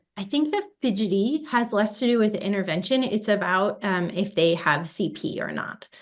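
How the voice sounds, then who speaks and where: A woman talks with a Chicago accent. Her pitch is fairly high. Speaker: physical therapy researcher. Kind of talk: webinar interview. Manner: hesitant with fillers.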